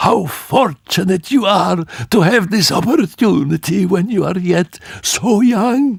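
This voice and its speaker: Putting on a character voice, a man speaks high and husky. His pace is fairly slow. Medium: read story. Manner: wheedling, silken.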